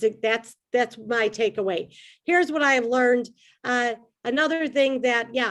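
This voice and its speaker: An animated tone comes through in an American accent, with ordinary pitch variation. The pace is moderate and the background quiet. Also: woman. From Chicago South Side. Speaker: comedian. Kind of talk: stand-up.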